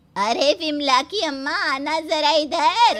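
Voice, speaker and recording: A woman uses a cartoonish character voice. Her pitch is high. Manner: taunting, gossipy.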